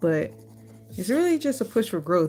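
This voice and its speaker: A soft-spoken woman with a dark, mellow tone. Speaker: art YouTuber. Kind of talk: casual drawing vlog talk. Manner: quiet, soft-spoken.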